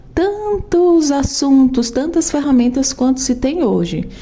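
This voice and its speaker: A woman is speaking. Her pace is fairly slow. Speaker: programmer and tech educator. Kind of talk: tutorial.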